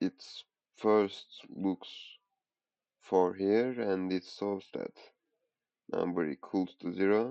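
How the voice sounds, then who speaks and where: A man with a non-native accent speaks very slowly at a fairly low pitch, with fairly even intonation and long, frequent pauses. The sound is dry and close, with no echo. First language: not English. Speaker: programming tutorial creator. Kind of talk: coding tutorial. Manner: halting, thinking aloud.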